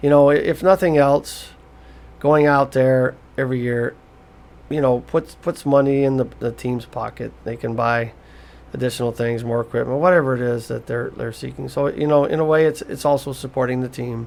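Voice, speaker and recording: A man with a normal speaking voice talks at a moderate pace, his medium pitch and intonation fairly even. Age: 60s. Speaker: psychic medium and podcaster. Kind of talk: casual motivational monologue. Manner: conversational with frequent fillers and repetitions.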